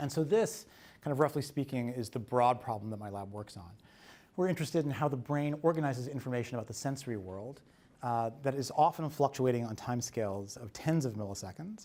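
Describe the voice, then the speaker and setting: At a very fast pace, a man with a medium pitch and a dark, mellow tone speaks with lively intonation and big swings in loudness. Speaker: neuroscientist, invited speaker. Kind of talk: lecture. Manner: mumbling.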